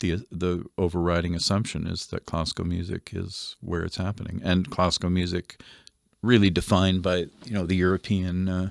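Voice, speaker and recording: A man's very deep, low voice with a Canadian accent, monotone and flat, at a moderate pace on a very clean recording with a silent background. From Canada, Winnipeg. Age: 60s. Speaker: composer and music teacher. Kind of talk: interview conversation.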